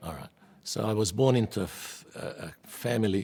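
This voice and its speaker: This man speaks with a Hungarian accent. His pitch shows ordinary variation. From Hungary. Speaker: Holocaust survivor. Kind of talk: oral history testimony.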